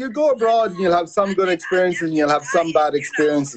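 With an Irish accent, a man talks at a fairly quick pace in a high pitch over noticeable background noise. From Ireland. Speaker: sports journalist, former sumo wrestler; interview guest, sports journalist. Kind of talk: interview. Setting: video call. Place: home room. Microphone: video call.

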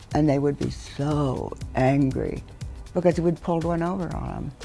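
There is faint background music. Over it, a woman talks. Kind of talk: interview answer. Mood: amused, reminiscing. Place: studio.

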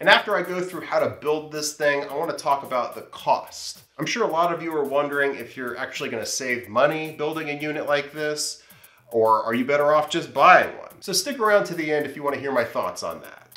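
A man talks with hardly any pauses, ordinary pitch variation and big swings in loudness. Audible room echo surrounds him, and faint music plays in the background. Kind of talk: tutorial vlog intro. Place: workshop.

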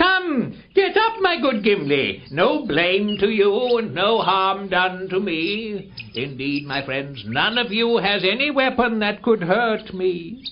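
The speech comes slowly, at a fairly slow pace. It is a put-on character voice. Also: man. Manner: warm, calmly commanding.

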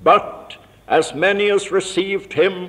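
A man speaks at a very slow pace with a solemn tone. His voice is high-pitched, with monotone, flat intonation. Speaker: university vice chancellor. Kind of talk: scripture reading at a carol service. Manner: slow, solemn. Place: church. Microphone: old recording.

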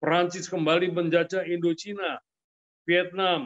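Pitched high for a man, his monotone, flat delivery moves at a fairly slow pace. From Central Java, Kendal; Central Java. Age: 70s. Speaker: senior politician and businessman; senior politician. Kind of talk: interview. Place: home room. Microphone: webcam.

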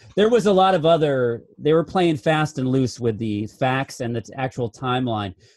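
Heard in a dry, close sound with no echo, a man with a normal speaking voice talks at a medium pitch and a moderate pace, with lively intonation and hardly any pauses. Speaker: film review podcast co-host. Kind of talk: casual chat.

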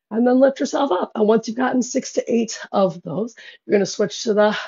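Behind the speaker, things are quiet. There is a somewhat breathy quality to the voice. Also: woman. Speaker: fitness instructor. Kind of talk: workout instruction. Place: home room.

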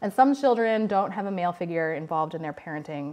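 At a very fast pace, a woman speaks with a fairly low pitch. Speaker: guest researcher lecturer. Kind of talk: lecture. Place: classroom.

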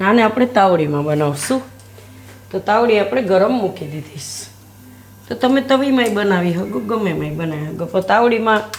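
Lively intonation from a woman at medium pitch, with noticeable background noise. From Gujarat, India (Surat). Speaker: cooking channel host. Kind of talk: cooking tutorial.

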